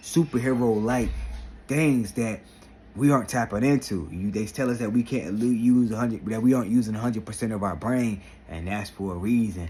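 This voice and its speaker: Over music in the background, the speaker talks at a fairly quick pace in an animated tone with ordinary pitch variation. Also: man. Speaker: vlogger and motivational speaker. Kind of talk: motivational vlog talk.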